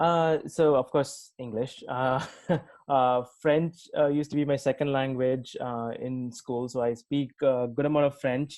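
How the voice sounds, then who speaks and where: A man's monotone, flat delivery in a Telugu accent. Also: medium pitch for a man, quiet background. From India, Tamil Nadu. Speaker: tech executive. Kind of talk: interview. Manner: halting, many fillers.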